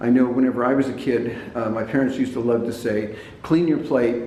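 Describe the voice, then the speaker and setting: The speaker has an American accent and talks at a moderate pace. Noticeable background noise and audible room echo are present. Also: man. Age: 70s. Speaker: health and diet talk presenter. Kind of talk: informal talk to camera. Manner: hesitant, repeats words and fillers.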